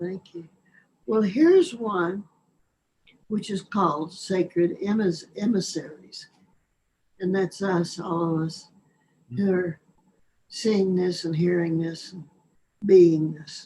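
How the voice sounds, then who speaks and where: In an American accent, a somewhat breathy, dark, mellow voice speaks very slowly with fairly even intonation, long, frequent pauses and big swings in loudness. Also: woman, medium pitch for a woman. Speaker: poet and author. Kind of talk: poetry reading within interview.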